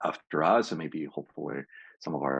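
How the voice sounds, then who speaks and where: A man talks at a fairly quick pace, his pitch making very wide swings. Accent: Spanish. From Peru. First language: Spanish. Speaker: PhD student panelist. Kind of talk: panel discussion. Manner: halting.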